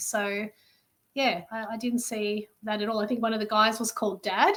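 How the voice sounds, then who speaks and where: Her voice fairly high, a woman with an Australian accent talks at a moderate pace. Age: 40s. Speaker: army reserve recruit. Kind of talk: casual interview chat.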